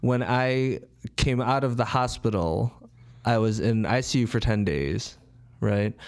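Speaking in an American accent at a fairly slow pace, a man uses a medium pitch with ordinary pitch variation, very even loudness and long, frequent pauses. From Chicago, north side. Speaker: personal trainer. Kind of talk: interview.

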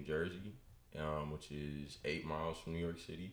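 Amid audible room echo, a man with an American accent speaks in a very deep, low voice with fairly even intonation. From US West Coast, Bay Area (Richmond, California). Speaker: sports broadcasting assistant. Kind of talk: casual interview chat. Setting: studio.

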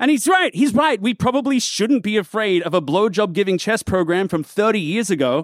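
Talking at a fairly quick pace with hardly any pauses, a man uses a high voice on a very clean recording with a silent background and a dry, close sound with no echo. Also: lively intonation. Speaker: comedian and board game maker.

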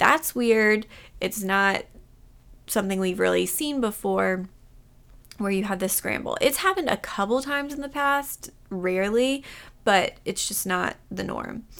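On a very clean recording with a silent background, a woman with a normal speaking voice talks at a fairly slow pace, her fairly high pitch carrying lively intonation. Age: 30s. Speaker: podcast host for aspiring physician assistants. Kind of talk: casual solo podcast recap. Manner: conversational, lightly laughing.

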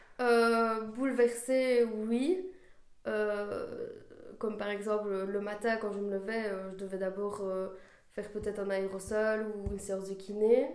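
A woman's fairly high, flat, monotone voice at a very slow pace, with long, frequent pauses and audible room echo. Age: 20s. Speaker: after-school childcare worker. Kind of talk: testimony. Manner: halting, many hesitations.

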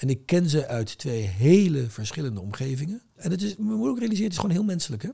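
A man at a very fast pace, with very wide pitch swings and a somewhat breathy, dark, mellow tone. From Rotterdam, Netherlands. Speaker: trade association chairman. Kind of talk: casual interview.

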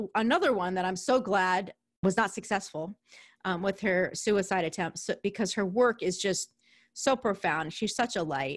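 A woman in a New York accent with lively intonation, on a very clean recording with a silent background and a dry, close sound with no echo. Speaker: podcast host. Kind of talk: solo podcast intro; casual interview.

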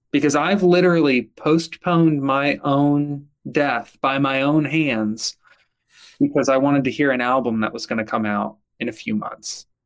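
This man has an unremarkable speaking voice, pitched fairly high. He keeps a moderate pace with ordinary pitch variation. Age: 20s. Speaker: mental health startup founder. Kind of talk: interview.

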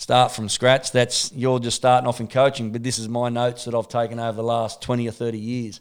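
With an Australian accent, a man talks at a fairly quick pace in a monotone, flat intonation, with hardly any pauses. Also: medium pitch for a man. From Australia (Sydney, Newcastle). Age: 40s. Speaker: MMA and boxing coach. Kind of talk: casual chat.

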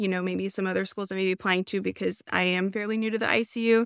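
In a Texan accent, a woman talks at a fairly quick pace, her sound dry and close with no echo. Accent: Texan Southern US. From Texas. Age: 30s. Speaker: ICU nurse applying to nurse anesthesia school. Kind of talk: casual interview. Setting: remote video call. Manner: chatty; animated.

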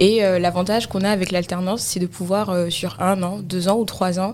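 A woman with an unremarkable speaking voice and a medium pitch talks at a fairly quick pace. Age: 20s. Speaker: cloud engineer. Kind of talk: interview. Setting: studio.

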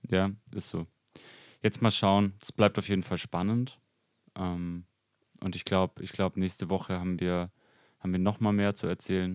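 In a dry, close sound with no echo, a man with a very deep, low pitch speaks at a moderate pace in a monotone, flat intonation with long, frequent pauses. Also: very clean recording, silent background. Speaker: podcast co-host and business owner. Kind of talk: casual chat.

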